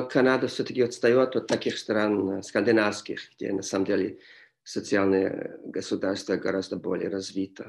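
Against a quiet background, a man speaks at a moderate pace in a fairly low pitch. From Montreal, Canada. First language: English (speaking Russian). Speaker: history professor. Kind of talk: interview. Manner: halting.

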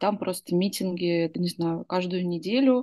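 A woman's dark, mellow voice with lively intonation, dry and close with no echo. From Russia, Izhevsk. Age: 30s. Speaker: former opposition activist. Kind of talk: personal recollection.

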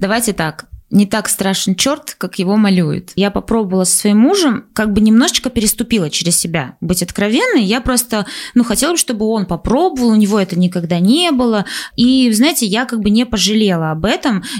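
Speaking fairly quickly, a woman with an unremarkable speaking voice uses fairly high pitch and lively intonation. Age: 20s. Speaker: podcast co-host. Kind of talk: casual chat.

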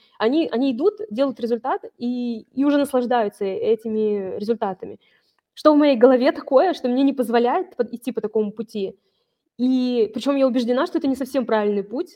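At a fairly quick pace, a high-pitched woman talks. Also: ordinary pitch variation. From Vologda, northern Russia. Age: 30s. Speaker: online seller and brand owner. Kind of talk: business case review interview.

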